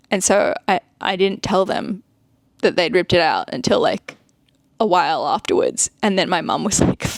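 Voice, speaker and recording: A woman speaks with an Australian accent in a dry, close recording with no echo. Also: moderate pace. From Australia (Sydney). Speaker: art content creator. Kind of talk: casual vlog chat. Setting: home, seated.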